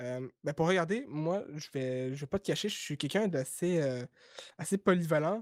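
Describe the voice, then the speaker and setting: Speaking with a Quebec accent at a moderate pace, a man with a fairly high pitch uses lively intonation in a dry, close sound with no echo. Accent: Québécois. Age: 20s. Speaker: YouTuber. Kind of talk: podcast interview. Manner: hesitant, many fillers.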